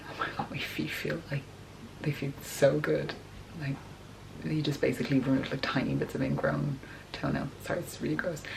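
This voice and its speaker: Over noticeable background noise, a woman talks at a fairly quick pace broken by long, frequent pauses. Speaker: vlogger. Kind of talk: casual chat. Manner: chatty.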